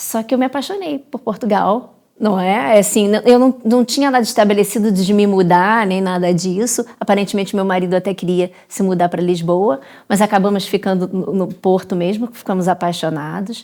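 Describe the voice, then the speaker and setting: Her voice has a dark, mellow tone at a medium pitch with ordinary variation. The woman speaks at a moderate pace. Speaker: dentist. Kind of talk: interview conversation.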